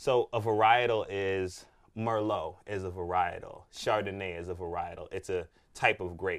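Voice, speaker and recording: Using an ordinary speaking voice, a man at a fairly low pitch talks at a moderate pace with fairly even intonation, on a very clean recording with a silent background. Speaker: wine consultant and podcast host. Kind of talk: casual chat interview.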